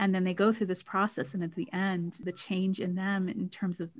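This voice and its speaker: Somewhat breathy speech from a woman, medium-pitched, at a moderate pace. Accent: American. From United States. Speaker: music therapist and singer. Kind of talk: casual interview chat. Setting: online call.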